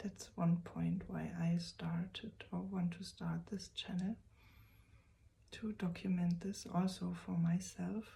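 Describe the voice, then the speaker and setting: A woman with a non-native accent talks at a very slow pace. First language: German. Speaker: vlogger. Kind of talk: personal vlog. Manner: halting.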